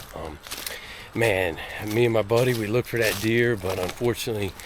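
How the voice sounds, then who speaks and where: Noticeable background noise fills the clip. A man talks at a medium pitch. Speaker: hunting vlogger. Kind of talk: self-filmed hunting vlog. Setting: outdoors in the woods. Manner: casual, conversational.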